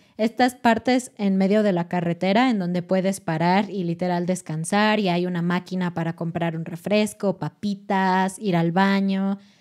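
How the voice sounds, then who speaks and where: A woman's fairly slow, fairly even delivery stands against a quiet background. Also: hardly any pauses. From Mexico City. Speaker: Spanish teaching podcast host; podcast co-host. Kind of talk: educational casual chat. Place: studio. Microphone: studio mic.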